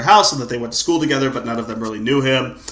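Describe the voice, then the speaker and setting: Amid noticeable background noise and audible room echo, a man talks in an animated tone at a medium pitch. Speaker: podcast host. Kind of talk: casual chat. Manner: loud.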